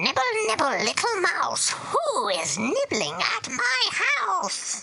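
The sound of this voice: A squeaky, high-pitched put-on character voice at a very slow pace.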